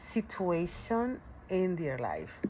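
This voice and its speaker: A woman speaks at a very slow pace with a non-native accent. Her pitch is medium. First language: not English. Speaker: ESL teacher and graduate student. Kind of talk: recorded course presentation. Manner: halting, self-correcting.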